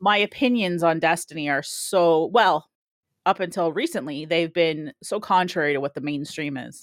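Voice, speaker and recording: A woman with a Canadian accent, a normal speaking voice, fairly low pitch, ordinary pitch variation and a moderate pace, in a very clean recording with a silent background and a dry, close sound with no echo. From Canada. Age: 40s. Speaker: Twitch streamer. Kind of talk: casual chat.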